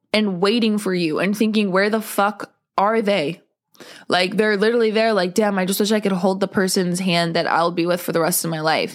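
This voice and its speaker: Speaking at a fairly quick pace, a woman keeps a medium pitch, fairly even intonation and very even loudness. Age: 20s. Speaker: podcast host. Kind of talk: casual chat. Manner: casual, filler-heavy.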